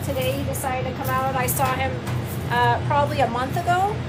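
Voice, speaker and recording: Speech moves at a fairly quick pace over music in the background. Audible room echo surrounds it. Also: woman. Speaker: gardening hobbyist streamer. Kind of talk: casual live-stream chat. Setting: greenhouse, live stream. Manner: loud.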